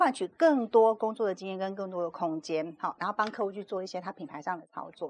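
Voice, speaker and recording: A woman with an ordinary speaking voice and medium pitch, talking at a fairly quick pace with hardly any pauses. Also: ordinary pitch variation. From Taiwan, Kaohsiung. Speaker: PR agency executive and author. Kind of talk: interview.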